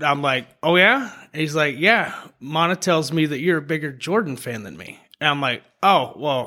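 With an American accent, a man talks at a moderate pace in a fairly high, bright, sharp voice, his intonation lively and his loudness swinging widely. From Memphis, Tennessee, US South. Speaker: bartender. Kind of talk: casual chat.

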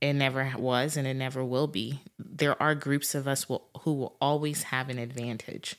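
In a very clean recording with a silent background, a woman with an African accent and a very deep, low voice speaks at a moderate pace with ordinary pitch variation. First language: not English.

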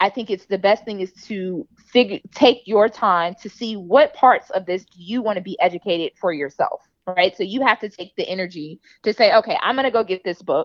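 Against a quiet background, a woman speaks in an unremarkable speaking voice at medium pitch. Her pace is fairly quick, with ordinary pitch variation. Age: 30s. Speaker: runner and podcast host. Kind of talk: interview.

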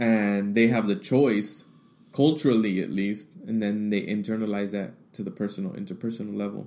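A man speaks in a dark, mellow tone. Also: very clean recording, silent background. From US, Mexican-American family. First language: Spanish. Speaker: podcast host, diversity trainer. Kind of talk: monologue / personal testimony. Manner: animated.

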